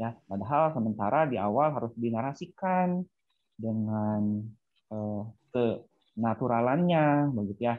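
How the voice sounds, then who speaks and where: His intonation is lively. The man leaves long, frequent pauses. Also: fairly slow pace, quiet background. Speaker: small business owner. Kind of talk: Q&A question. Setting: video call. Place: home room. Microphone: earbuds.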